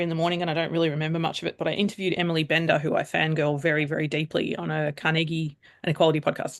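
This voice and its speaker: With an Australian accent, the speech races along at a very fast pace. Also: woman. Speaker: AI governance consultant. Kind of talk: casual chat.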